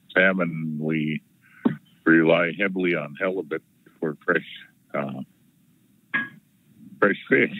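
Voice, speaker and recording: With a very deep, low pitch and fairly even intonation, a man talks at a very slow pace with long, frequent pauses, in a dry sound with no echo and light background noise. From Southeast Alaska; Alaska. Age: 60s. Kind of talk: public testimony. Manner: halting. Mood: earnest, concerned. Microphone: video call.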